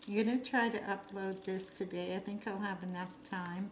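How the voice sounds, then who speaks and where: A woman speaks in a medium pitch with monotone, flat intonation, and audible room echo is present. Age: 60s. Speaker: hobby crafter vlogger. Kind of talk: casual chat while crafting. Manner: chatty, meandering.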